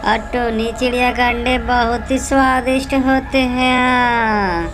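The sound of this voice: In a put-on character voice, a female-sounding speaker talks high-pitched and fairly slowly over loud background noise.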